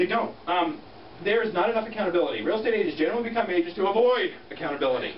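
Talking very fast in a high pitch with lively intonation, a man is heard over light background noise and audible room echo. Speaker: real estate team leader. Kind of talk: motivational talk. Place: meeting room. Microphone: camera far.

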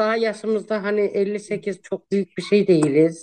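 Around the woman, the background is quiet. Her speech comes at a fairly slow pace. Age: 50s. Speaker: social media personality; guest. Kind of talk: casual interview. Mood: cheerful, laughing, warm. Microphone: video call.

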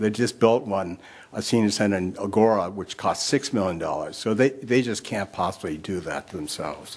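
Speech moves at a moderate pace. Its pitch shifts in an ordinary way. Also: man, fairly low pitch for a man. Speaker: public commenter at council meeting. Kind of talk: public comment speech. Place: hall. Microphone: podium.

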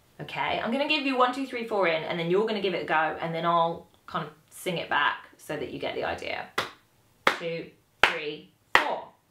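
A woman with a fairly low pitch talks at a moderate pace with lively intonation, over light background noise and audible room echo. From Britain. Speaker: saxophone teacher. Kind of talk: tutorial. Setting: home recording with videographer. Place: home room.

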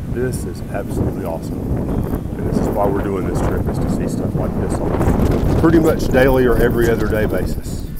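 There is loud background noise. Over it, a man talks at a fairly quick pace. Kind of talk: casual vlog chat. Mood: awed, delighted. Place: open country. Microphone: phone near.

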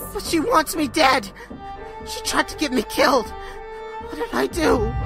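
A put-on character voice goes at a fairly slow pace while clear music plays in the background. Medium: audio drama.

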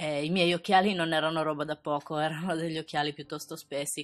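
Speaking very fast in a very deep, low voice with fairly even intonation, a woman is heard on a very clean recording against a silent background. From Sardinia, Italy. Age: 20s. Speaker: beauty youtuber. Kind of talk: personal storytelling narration.

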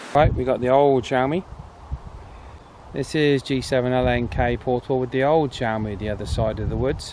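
Noticeable background noise sits under a moderate-paced voice in a dry sound with no echo. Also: man. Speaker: radio hobbyist reviewer. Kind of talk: radio test calls. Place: open country. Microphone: phone near.

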